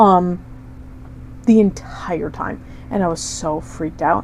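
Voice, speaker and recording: A woman's intonation rises and falls in a lively way, with noticeable noise in the background. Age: 20s. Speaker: podcast co-host. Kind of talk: casual chat.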